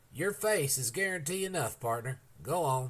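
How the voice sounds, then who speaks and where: A put-on character voice drawls along at a moderate pace with lively intonation. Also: man, fairly high pitch for a man. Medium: read story. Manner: lazy, drawling.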